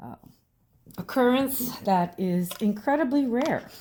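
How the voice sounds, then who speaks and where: A soft-spoken woman has a dark, mellow tone and very wide pitch swings. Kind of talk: soft-spoken ASMR crafting talk.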